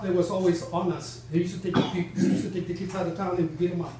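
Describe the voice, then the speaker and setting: A high-pitched man with an American accent at a very fast pace, with audible room echo and noticeable background noise. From Texas. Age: 70s. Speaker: bereaved father and community member. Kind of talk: public meeting question. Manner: halting, repetitive.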